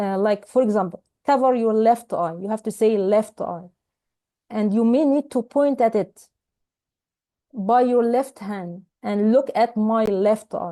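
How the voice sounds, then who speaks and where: Against a quiet background, a woman with an Arabic accent talks at a fairly slow pace, her fairly high voice carrying a dark, mellow tone and ordinary pitch variation. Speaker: ophthalmology teacher. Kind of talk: lecture.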